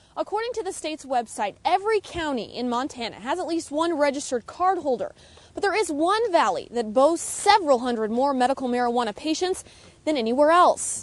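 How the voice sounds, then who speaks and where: With noticeable background noise behind her, a high-pitched woman talks at a fairly quick pace, her pitch swinging very widely. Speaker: TV news reporter. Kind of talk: TV news report.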